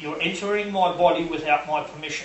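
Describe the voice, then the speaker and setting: With an Australian accent, a man with a fairly high pitch speaks at a moderate pace in a monotone, flat intonation, with audible room echo and noticeable background noise. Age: 60s. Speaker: constitutional rights activist. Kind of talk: talk to a small audience.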